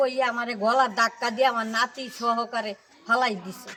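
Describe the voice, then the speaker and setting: A woman talks over noticeable background noise. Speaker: assault victim, villager. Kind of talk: news interview testimony.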